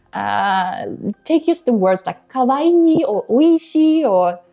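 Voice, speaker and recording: A woman with a Swedish accent and very wide pitch swings. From Sweden. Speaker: language-learning YouTuber. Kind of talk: casual vlog talk.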